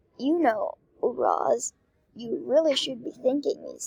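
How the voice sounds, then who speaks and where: A woman puts on a character voice, high-pitched and fairly slow. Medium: read story. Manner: composed, self-assured.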